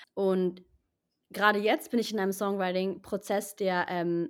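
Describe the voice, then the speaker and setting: This is an unremarkable speaking voice at a moderate pace. The recording is very clean, with a silent background. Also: woman. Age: 20s. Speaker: actress and singer-songwriter. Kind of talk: interview.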